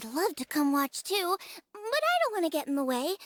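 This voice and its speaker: A put-on character voice at an extremely high pitch moves along at a fairly quick pace. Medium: video game.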